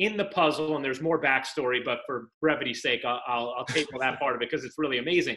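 A man with a bright, sharp tone at a fairly quick pace over a quiet background. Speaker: interview guest. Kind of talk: interview answer. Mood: warm, enthusiastic storytelling. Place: home room. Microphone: video call.

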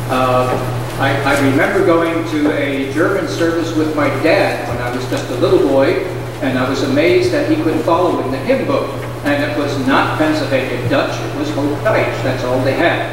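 Over noticeable background noise and strong room echo, a man talks at a moderate pace with fairly even intonation. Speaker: pastor leading service. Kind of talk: sermon. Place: church. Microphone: camera far.

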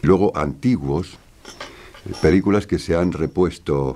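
A man with a dark, mellow tone and vocal fry, moderate in pace, with ordinary pitch variation. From Spain. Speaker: voice actor. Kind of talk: interview answer. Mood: warm, nostalgic. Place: studio.

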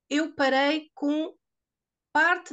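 A woman speaks with a European Portuguese accent. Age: 60s. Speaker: product testimonial giver. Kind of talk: testimony. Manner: halting.

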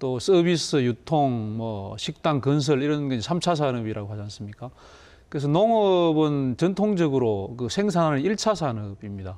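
A man with a fairly high pitch and a dark, mellow tone speaks at a fairly slow pace, his pitch swinging very widely. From South Korea. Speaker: government agency head; guest. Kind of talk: TV interview. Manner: formal. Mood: friendly, smiling. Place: studio.

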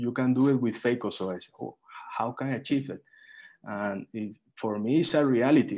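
A voice with a Spanish accent moves at a moderate pace with fairly even intonation. The background is quiet. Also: man. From Colombia. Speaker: eye surgeon. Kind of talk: online panel discussion. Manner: halting. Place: home room. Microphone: video call.

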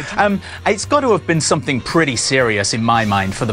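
A man talks at a fairly quick pace. His pitch swings very widely over faint background music. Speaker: entertainment correspondent and royal commentator. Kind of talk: TV entertainment news commentary and interview banter. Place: studio. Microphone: lapel.

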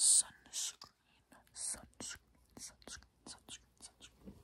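Someone whispers at a very slow pace. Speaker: skincare vlogger. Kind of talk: casual vlog chat, reading product labels. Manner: close, repetitive ASMR whisper. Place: home room. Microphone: phone near.

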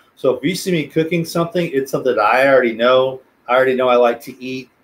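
Speaking with an American accent, a man uses lively intonation at a fairly high pitch. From South Texas. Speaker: special education teacher and planetarium director; interview guest, teacher. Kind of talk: casual interview; interview answer. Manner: halting, many repeated words and fillers. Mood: relaxed, friendly. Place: home room.

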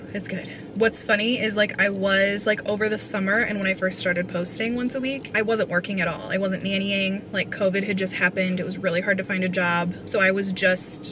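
A woman talks at a fairly quick pace with hardly any pauses, her intonation monotone and flat. There is noticeable background noise, and the sound is dry with no echo. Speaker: vlogger. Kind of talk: casual vlog chat. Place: car. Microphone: phone near.

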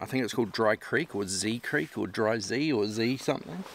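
Noticeable background noise sits under a man speaking at a moderate pace, with a dry sound and no echo. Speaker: fishing vlogger. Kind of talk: casual vlog chat. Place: open country.

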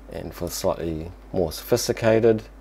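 Light background noise sits behind a man's dark, mellow tone. He speaks fairly slowly, with very wide pitch swings. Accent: strong New Zealand. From New Zealand. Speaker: tech video presenter demonstrating voice dictation. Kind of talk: tutorial commentary. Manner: casual, explanatory. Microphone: lapel.

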